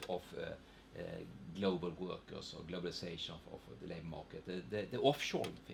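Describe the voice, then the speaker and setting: A man with a slight Swedish accent talks at a moderate pace in a somewhat breathy voice. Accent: Swedish regional accent, slight in English. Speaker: economist. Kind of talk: panel seminar talk. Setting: seminar with audience. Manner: hesitant, many repetitions.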